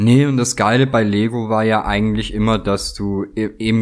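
At a moderate pace, a man uses a normal speaking voice with a fairly low pitch and fairly even intonation, on a very clean recording with a silent background. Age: 30s. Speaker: craftsman. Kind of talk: casual chat.

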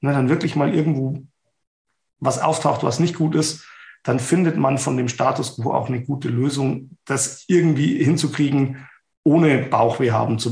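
A man speaks at medium pitch and a moderate pace, somewhat breathy. His intonation is fairly even, and the room echo is audible. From Bavaria, Ingolstadt. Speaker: event safety expert. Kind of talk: casual interview.

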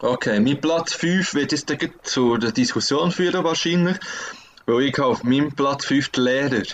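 With a Swiss accent, a man talks at a fairly slow pace in a fairly high pitch, with ordinary pitch variation and very even loudness. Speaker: podcast co-host. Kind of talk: casual chat. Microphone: laptop internal microphone.

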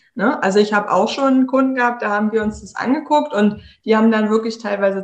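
At a fairly quick pace, a woman talks in an ordinary speaking voice with a fairly high pitch and ordinary pitch variation. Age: 30s. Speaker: tech consultant for entrepreneurs. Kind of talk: interview. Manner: casual.

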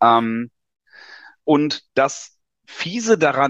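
A man's dry, close sound with no echo against a quiet background. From Lower Saxony, northern Germany. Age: 40s. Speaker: tax advisor. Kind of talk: interview.

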